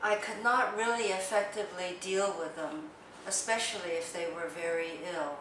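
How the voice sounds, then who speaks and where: With a Chinese accent, the speaker talks fairly slowly with lively intonation. Room echo is audible, along with noticeable background noise. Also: woman. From China, then US East Coast from childhood. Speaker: biology professor. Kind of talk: interview testimony. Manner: hesitant with filler sounds.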